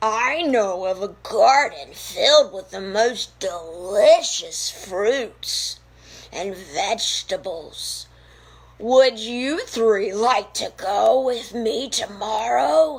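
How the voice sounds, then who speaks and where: A woman puts on a raspy character voice at a fairly high pitch. She speaks at a very slow pace. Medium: read story. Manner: theatrical.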